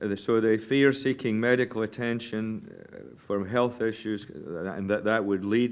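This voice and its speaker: With a Scottish accent, a man speaks at a moderate pace, his fairly low pitch held in fairly even intonation. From Scotland. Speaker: physician, medical association chair. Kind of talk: press statement. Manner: formal.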